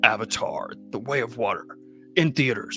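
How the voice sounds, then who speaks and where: A man in a put-on character voice at a moderate pace, with clear music in the background. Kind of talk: announcer.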